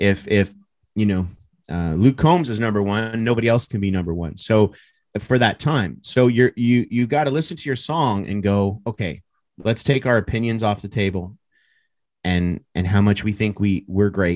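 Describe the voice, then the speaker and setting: Against a quiet background, a plain, everyday voice with a Canadian accent moves at a moderate pace with ordinary pitch variation. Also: man, fairly low pitch for a man. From Canada. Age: 30s. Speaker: country music artist. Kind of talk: casual chat.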